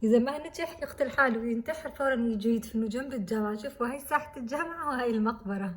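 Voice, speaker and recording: A soft-spoken woman's high voice with ordinary pitch variation. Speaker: student vlogger. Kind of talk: vlog. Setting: university building. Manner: soft-spoken, speaking quietly.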